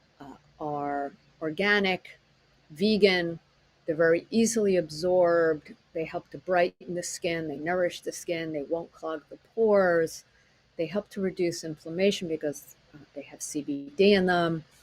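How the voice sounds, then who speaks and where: A woman's unremarkable speaking voice, fairly low in pitch, with fairly even intonation, big swings in loudness and a fairly slow pace. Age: 60s. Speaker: acupuncturist and teacher. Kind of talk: webinar presentation. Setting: online presentation with slides.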